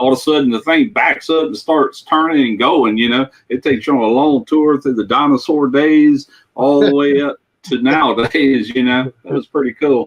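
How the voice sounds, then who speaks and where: He has a normal speaking voice, pitched fairly high. This man talks at a moderate pace with ordinary pitch variation. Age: 60s. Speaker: livestream participant. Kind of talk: casual chat.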